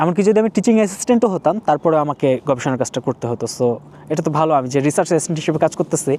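Recorded dry and close with no echo, a man speaks in an unremarkable speaking voice, fairly high-pitched, with lively intonation. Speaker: PhD graduate and video blogger. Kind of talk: informal explainer monologue. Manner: conversational, many pauses.

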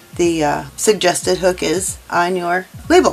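Faint music plays in the background as a woman speaks at a moderate pace with ordinary pitch variation. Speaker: crochet instructor. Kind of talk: tutorial. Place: home room.

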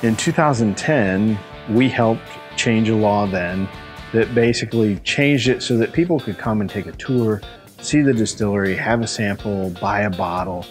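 A man speaks in a fairly low pitch. Faint music plays in the background. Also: ordinary pitch variation, moderate pace. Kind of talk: interview answer. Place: factory. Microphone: lapel.

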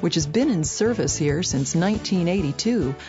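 Music plays in the background. Over it, a woman's voice moves in very wide pitch swings. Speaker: voice actor. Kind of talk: corporate narration.

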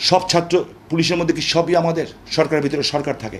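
A man speaks at a fairly high pitch. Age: 60s. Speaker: political commentator. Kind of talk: impassioned appeal. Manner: animated.

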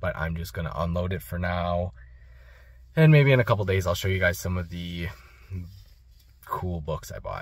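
Speaking at a moderate pace, a man with a very deep, low, somewhat breathy voice uses ordinary pitch variation in a dry sound with no echo. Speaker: book reseller. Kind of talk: casual vlog chat. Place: car. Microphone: phone near.

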